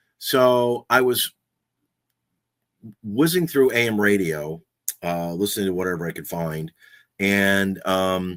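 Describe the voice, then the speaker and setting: A man with an American accent, fairly low in pitch, fairly slow, with lively intonation and long, frequent pauses. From Southern California. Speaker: podcaster and radio host, voice over actor. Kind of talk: casual talk to camera, podcast chat about personal history. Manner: conversational, relaxed, humorous.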